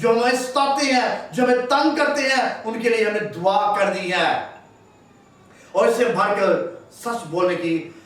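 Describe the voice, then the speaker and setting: An extremely high-pitched male voice with lively intonation over noticeable background noise. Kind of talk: sermon.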